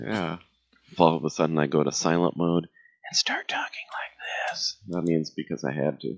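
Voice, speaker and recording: A man speaks with a very deep, low pitch and vocal fry. His intonation stays fairly even. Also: moderate pace. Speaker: podcast co-host. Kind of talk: casual chat. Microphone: poor sound quality, new Windows 10 setup.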